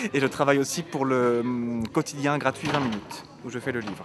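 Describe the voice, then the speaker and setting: Amid noticeable background noise, a man speaks at a fairly quick pace and medium pitch with ordinary pitch variation. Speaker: journalist and festival moderator. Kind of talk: interview. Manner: fast.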